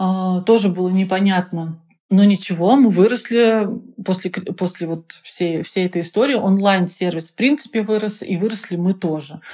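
At a moderate pace, a woman talks with a dark, mellow tone, medium pitch and ordinary pitch variation. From Russia, Penza. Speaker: business founder. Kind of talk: interview.

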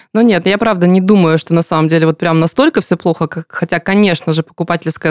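A woman with a plain, everyday voice, fairly low in pitch, at a fairly quick pace with fairly even intonation, in a dry, close sound with no echo on a very clean recording over a silent background. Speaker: podcast host. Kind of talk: interview about personal finance.

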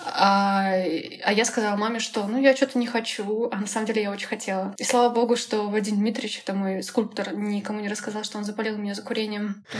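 A woman talks at a very fast pace in a fairly high pitch with monotone, flat intonation. There is noticeable background noise. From Russia, Kaliningrad region. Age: 20s. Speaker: graphic designer. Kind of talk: casual interview.

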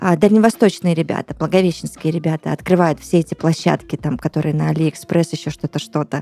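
In a dry, close sound with no echo, a woman with a very deep, low pitch, vocal fry and a dark, mellow tone speaks at a very fast pace with hardly any pauses. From Russian Far East, Blagoveshchensk. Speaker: radio host. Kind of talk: casual chat. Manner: animated.

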